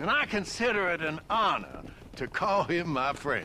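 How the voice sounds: A man speaks in a put-on character voice at a moderate pace, his pitch fairly high. His tone is bright and sharp, with big pitch swings.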